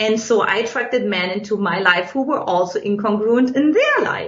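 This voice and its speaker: With a German accent, a woman speaks at a moderate pace and a fairly high pitch amid noticeable background noise. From Eastern Germany. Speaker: relationship coach. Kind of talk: podcast interview.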